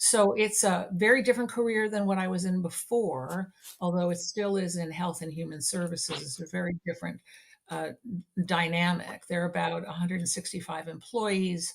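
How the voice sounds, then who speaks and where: A woman with an American accent, somewhat breathy and fairly low-pitched, at a moderate pace with ordinary pitch variation. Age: 60s. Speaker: nonprofit executive. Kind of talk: interview podcast.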